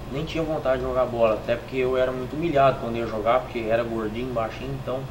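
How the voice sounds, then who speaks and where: Speech comes at a very fast pace with fairly even intonation. Audible room echo and noticeable background noise are present. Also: man, medium pitch for a man. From Pedregulho, São Paulo near Minas Gerais border. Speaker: professional footballer. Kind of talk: interview testimony.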